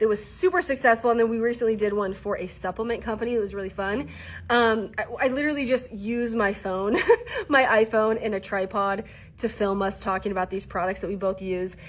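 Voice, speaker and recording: Animated in tone, a woman talks at a fairly quick pace in a fairly high voice with ordinary pitch variation. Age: 30s. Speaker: content creation coach. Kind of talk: casual vlog talk to camera.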